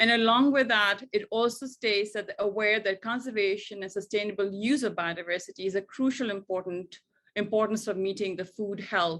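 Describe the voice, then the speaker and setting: A woman's plain, everyday voice at a moderate pace, with ordinary pitch variation against a quiet background. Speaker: women's rights advocate. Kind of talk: webinar presentation.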